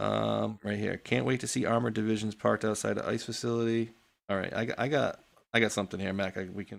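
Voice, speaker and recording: Here a man speaks very fast in a New England accent. His pitch is fairly low and his intonation fairly even. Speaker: political talk show host. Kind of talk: casual chat. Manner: casual, filler-heavy.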